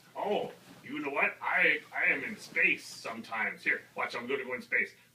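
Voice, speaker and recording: Putting on a cartoonish character voice, a woman speaks in a fairly low pitch at a moderate pace. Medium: puppet show.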